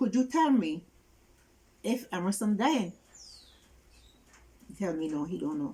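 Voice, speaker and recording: A woman with a fairly high pitch talks at a fairly slow pace, her tone dark and mellow and somewhat breathy. Her pitch swings very widely, and she leaves long, frequent pauses. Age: 70s. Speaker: interviewee, caregiver of sick relative. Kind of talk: interview testimony.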